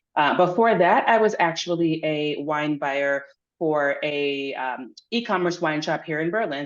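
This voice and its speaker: A woman with an American accent speaks at a moderate pace in a very deep, low pitch, using ordinary pitch variation. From Pennsylvania, US. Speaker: wine writer and workshop presenter. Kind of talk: workshop presentation. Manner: casual, with many fillers.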